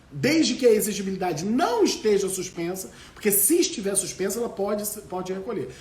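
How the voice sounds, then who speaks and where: With lively intonation and a high pitch, a man talks at a fairly quick pace, with audible room echo and noticeable background noise. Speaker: law professor. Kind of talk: live lecture.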